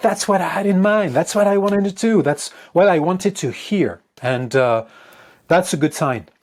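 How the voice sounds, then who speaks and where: A high-pitched male voice with a French accent, moderate pace and very wide pitch swings, on a very clean recording with a silent background. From France. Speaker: guitarist and composer. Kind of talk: interview. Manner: halting.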